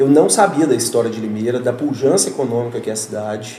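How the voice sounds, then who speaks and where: A man with a Minas Gerais accent talks at a fairly quick pace. Audible room echo and noticeable background noise fill the recording. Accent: mineiro. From Minas Gerais, Brazil. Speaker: real estate developer representative. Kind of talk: casual interview on live podcast. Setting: live stream studio.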